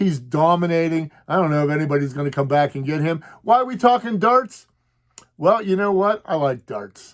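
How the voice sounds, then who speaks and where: A man with a fairly high voice and lively intonation talks at a moderate pace. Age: 60s. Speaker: sports podcast host. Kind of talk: casual monologue. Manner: halting, many fillers and repeats.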